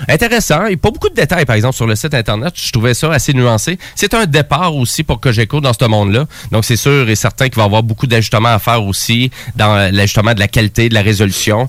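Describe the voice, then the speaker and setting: A man at a very fast pace, medium pitch, ordinary pitch variation and very even loudness. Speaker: radio host. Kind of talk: radio show chat.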